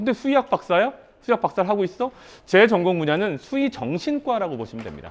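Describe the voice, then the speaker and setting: Talking at a very fast pace, a man with a high pitch sounds animated, with very wide pitch swings and big swings in loudness. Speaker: startup founder and professor giving a seminar talk. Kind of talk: seminar lecture. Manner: animated, rhetorical questions.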